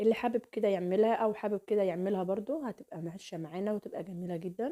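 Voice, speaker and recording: This woman's tone is dark and mellow, at a medium pitch. She talks at a fairly quick pace. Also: ordinary pitch variation. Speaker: cooking channel host. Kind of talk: cooking tutorial. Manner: warm, chatty.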